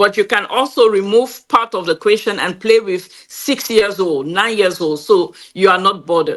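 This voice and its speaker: A woman with a French accent at medium pitch and a moderate pace, ordinary pitch variation and hardly any pauses. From Cameroon. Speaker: game creator and entrepreneur. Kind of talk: interview.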